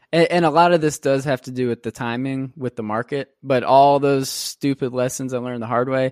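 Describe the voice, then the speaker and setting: Over a very clean recording with a silent background, a man speaks fairly quickly in a plain, everyday voice at a medium pitch with ordinary pitch variation, the sound dry and close with no echo. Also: hardly any pauses. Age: 20s. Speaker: real estate investor. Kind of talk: interview. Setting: podcast.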